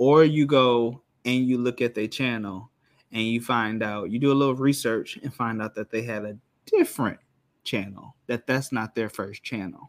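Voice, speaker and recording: A man with an American accent has a plain, everyday voice at medium pitch, speaking at a moderate pace with fairly even intonation. The recording is very clean with a silent background and a dry, close sound with no echo. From Rockford, Illinois (US Midwest). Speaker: podcast guest. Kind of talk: casual chat.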